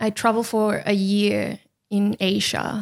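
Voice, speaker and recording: On a very clean recording with a silent background, a woman talks at a fairly high pitch. Her pace is very slow. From Chile. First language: Spanish. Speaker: podcast team member. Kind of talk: casual interview.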